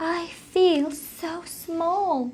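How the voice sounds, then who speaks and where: Her pitch sits extremely high. This woman is doing a put-on character voice. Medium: read story.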